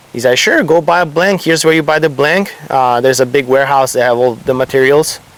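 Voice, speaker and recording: A man's fairly high voice with a slight Italian accent, very fast with hardly any pauses, very even loudness and ordinary pitch variation. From Italy. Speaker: surfboard shaper. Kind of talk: casual interview.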